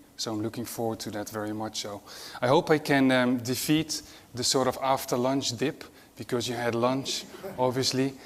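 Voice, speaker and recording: A man speaks with a Dutch accent at medium pitch. His pace is moderate and his intonation fairly even. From Netherlands. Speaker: nurse-anesthetist and mission charity executive. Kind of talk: conference talk.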